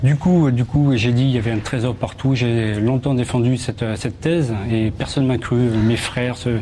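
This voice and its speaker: A medium-pitched man with a southern French accent at a moderate pace, with hardly any pauses, very even loudness, fairly even intonation and noticeable background noise. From southern France, Toulouse. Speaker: metal detectorist and magazine editor. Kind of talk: TV studio interview. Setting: TV studio. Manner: halting, repeats words.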